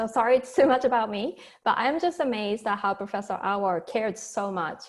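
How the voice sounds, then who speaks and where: Speaking at a fairly quick pace, a woman talks with a Japanese accent. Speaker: professor and talk series host. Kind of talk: speaker introduction.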